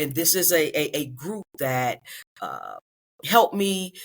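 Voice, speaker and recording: A woman uses a normal speaking voice, talking at a moderate pace with a fairly low pitch. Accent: American. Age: 60s. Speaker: retired teacher. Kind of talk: interview.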